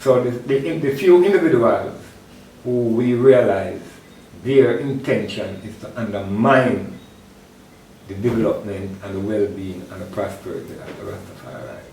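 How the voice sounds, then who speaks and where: A man speaks with lively intonation and big swings in loudness, with audible room echo around him. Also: medium pitch for a man, moderate pace. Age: 60s. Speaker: Rastafari elder and event organizer. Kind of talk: interview.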